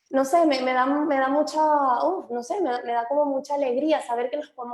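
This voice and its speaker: A woman with a Venezuelan accent speaks at a high pitch. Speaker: immigration lawyer. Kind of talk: webinar chat. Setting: video call.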